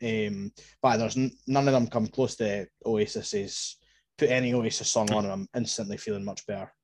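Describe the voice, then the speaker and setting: With an Edinburgh accent, a man speaks at medium pitch and a moderate pace. His intonation is fairly even, and the recording is very clean with a silent background. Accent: Edinburgh Scottish. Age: 20s. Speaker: football podcaster. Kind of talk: personal story in casual chat.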